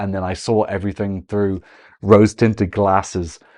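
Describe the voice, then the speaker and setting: Here a man talks at a fairly quick pace with an Irish accent. The background is quiet. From Ireland. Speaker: Eurovision analyst, content creator. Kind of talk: video commentary analysis.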